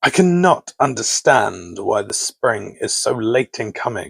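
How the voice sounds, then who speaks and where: A man puts on a gruff character voice at a medium pitch. He speaks at a fairly slow pace. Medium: read story.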